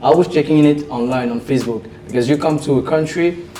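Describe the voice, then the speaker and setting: The speaker has a French accent. Noticeable background noise is present. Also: man. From Belgium, French-speaking. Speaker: trader and investor. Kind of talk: interview. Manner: halting.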